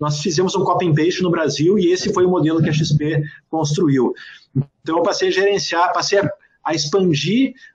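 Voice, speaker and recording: With fairly even intonation, a man speaks in a high voice at a moderate pace. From southern Brazil, Serra Gaúcha (Rio Grande do Sul). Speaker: entrepreneur and author. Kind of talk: interview. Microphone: earbuds.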